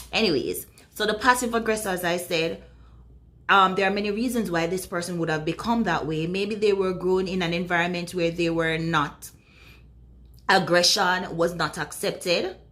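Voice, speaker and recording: In a room with audible echo, a woman talks at a moderate pace with fairly even intonation. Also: medium pitch for a woman. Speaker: video blogger on relationships. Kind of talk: casual talk to camera.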